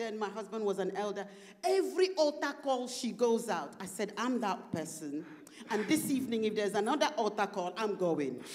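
A woman talks at a fairly slow pace in a fairly high pitch. Her pitch swings very widely. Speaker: preacher. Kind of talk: sermon. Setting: church conference with interpreter. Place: church. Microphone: handheld.

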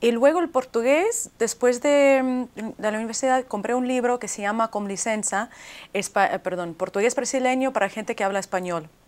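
At a moderate pace, a woman with a Russian accent speaks at a fairly high pitch with ordinary pitch variation. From US, arrived from Leningrad at age three. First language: Russian (speaking Spanish). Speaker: author; interviewee. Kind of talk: TV interview. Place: studio. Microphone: lapel.

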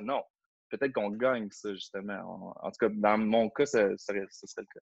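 A man with a Quebec accent at a moderate pace with ordinary pitch variation, in a dry sound with no echo and a quiet background. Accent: Québécois French. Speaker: educational consultant, former ethics teacher; teacher trainer presenting. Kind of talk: online training webinar. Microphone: video call.

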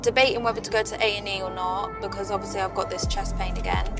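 Clear music plays in the background as a woman speaks. The sound is dry, with no echo. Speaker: family vlogger. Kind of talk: casual vlog chat. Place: car. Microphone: phone near.

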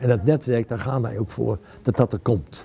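A somewhat breathy man's voice at medium pitch, dark and mellow in tone, over light background noise. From Netherlands, Utrecht; Netherlands. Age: 60s. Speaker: local politician. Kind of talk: campaign interview. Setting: library. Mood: calm, earnest. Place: hall.

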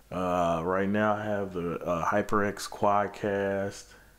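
A man's fairly low voice in a monotone, flat intonation. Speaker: unboxing vlogger. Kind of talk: casual vlog chat. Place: home room. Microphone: phone near.

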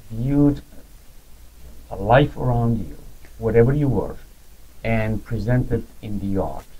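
The voice has a dark, mellow tone, somewhat breathy, moving at a fairly slow pace with ordinary pitch variation. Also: man. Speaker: museum curator; gallery visitor or interviewer. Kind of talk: interview; conversation about paintings. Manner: formal. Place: hall. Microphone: camera far.

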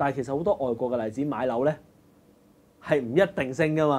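A man talks in a normal speaking voice. It sits at a medium pitch with ordinary pitch variation. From Hong Kong. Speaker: live stream host. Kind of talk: casual chat.

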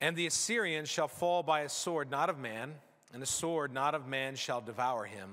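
A man with a bright, sharp tone at a moderate pace, quiet background. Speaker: pastor. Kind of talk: scripture reading in sermon. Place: church. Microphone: podium.

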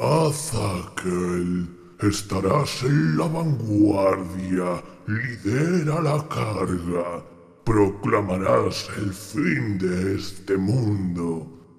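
Using a put-on character voice, a man speaks very slowly in a fairly low pitch, with audible echo around him. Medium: dub. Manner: menacing, authoritative.

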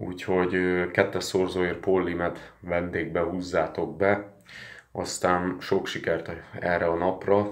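Over a quiet background, a man speaks very slowly in a very deep, low voice with monotone, flat intonation. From Hungary. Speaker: sports betting tipster; sports betting vlogger. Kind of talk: casual vlog monologue. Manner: hesitant with fillers. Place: home room. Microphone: phone near.

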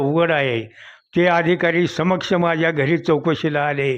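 The speaker is a man with a high pitch. His intonation is fairly even. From Maharashtra, Barshi taluka (Solapur district). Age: 80s+. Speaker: retired police investigator. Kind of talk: interview testimony.

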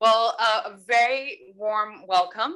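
The background is quiet. A woman speaks in a bright, sharp tone. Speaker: event host. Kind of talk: opening speech. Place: hall. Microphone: podium.

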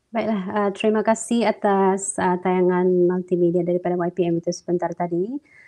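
Against a quiet background, a woman with a dark, mellow tone speaks at a very even loudness, with fairly even intonation and hardly any pauses. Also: medium pitch for a woman, moderate pace. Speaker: school counselor, emcee; webinar emcee. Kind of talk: formal ceremony emceeing. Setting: online webinar. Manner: formal. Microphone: earbuds.

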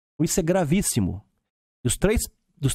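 Over a quiet background, a man with a dark, mellow tone speaks with lively intonation in a dry sound with no echo. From Belo Horizonte, Minas Gerais, Brazil. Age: 50s. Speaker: lawyer and businessman; lawyer. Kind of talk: podcast interview. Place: studio. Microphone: studio mic.

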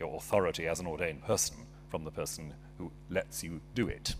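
There is light background noise. A man talks with vocal fry. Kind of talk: formal debate speech. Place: hall. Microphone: podium.

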